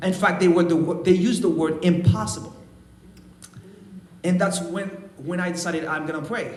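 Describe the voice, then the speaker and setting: A man with a high voice speaks at a fairly quick pace, leaving long, frequent pauses. Both room echo and background noise are noticeable. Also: ordinary pitch variation. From Haiti. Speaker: trumpet player. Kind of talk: testimony. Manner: halting.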